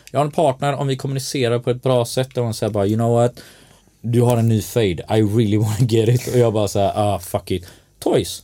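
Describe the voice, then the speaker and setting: With a dark, mellow tone, a man speaks at medium pitch and a fairly quick pace, keeping his intonation fairly even. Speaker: designer and event organizer. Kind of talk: casual chat. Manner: calm, never raises voice.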